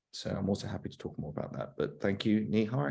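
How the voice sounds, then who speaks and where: The man's voice sits fairly low and has a dark, mellow tone. Vocal fry runs through his speech. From United Kingdom. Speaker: urban researcher, research centre deputy director. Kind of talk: webinar discussion. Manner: hesitant, many fillers.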